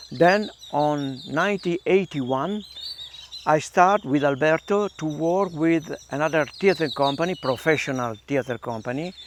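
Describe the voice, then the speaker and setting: Speaking with an Italian accent, a man with a fairly high pitch talks at a moderate pace over noticeable background noise. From northern Italy, Milan. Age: 70s. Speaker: theater artist, Kathakali performer. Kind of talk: interview, personal life story. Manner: halting, many fillers.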